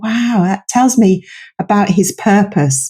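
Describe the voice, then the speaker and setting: A woman speaks at a fairly slow pace with a dark, mellow, somewhat breathy tone. Her pitch sits in the medium range with ordinary variation. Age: 60s. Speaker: psychologist and author. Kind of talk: podcast interview.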